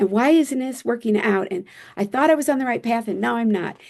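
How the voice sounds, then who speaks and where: A woman with an American accent speaks at a fairly quick pace and a fairly high pitch. She has ordinary pitch variation and a plain, everyday voice. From US Midwest (Michigan). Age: 60s. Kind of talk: podcast interview.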